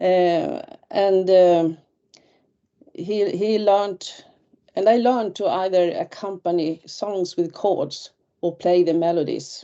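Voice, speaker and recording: Speaking very slowly with long, frequent pauses, a woman with a Swedish accent uses a fairly low pitch and fairly even intonation. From northern Sweden (Västerbotten). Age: 60s. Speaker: retired teacher and folk musician. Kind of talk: webinar presentation. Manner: halting.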